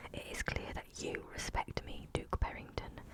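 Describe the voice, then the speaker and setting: Whispering over noticeable background noise. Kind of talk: audiobook-style fantasy reading. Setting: close microphone, studio.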